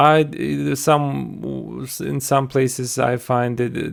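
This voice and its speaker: A man with a non-native accent, a medium pitch and lively intonation on a very clean recording with a silent background. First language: not English. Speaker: software tutorial creator. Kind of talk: tutorial. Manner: halting, many fillers.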